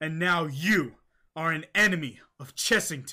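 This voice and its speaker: In a raspy, cartoonish character voice, the speaker moves at a moderate pace with ordinary pitch variation. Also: man. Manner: cold, accusing.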